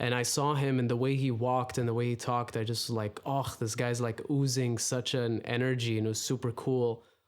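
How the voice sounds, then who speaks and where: Medium-pitched man in an Arabic accent, fairly quick with hardly any pauses, very even loudness and monotone, flat intonation. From UAE, Dubai. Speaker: rapper. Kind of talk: casual chat.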